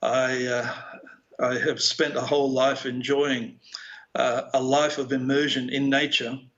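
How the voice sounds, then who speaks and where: A man with an Australian accent speaks at a fairly slow pace and a fairly high pitch. His intonation is monotone and flat, his loudness very even. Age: 60s. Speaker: philosopher. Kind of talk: keynote speech.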